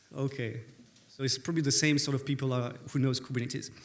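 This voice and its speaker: A man speaks with a French accent. Audible room echo surrounds his voice. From France. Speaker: conference speaker, developer relations lead. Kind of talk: conference talk. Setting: stage with audience.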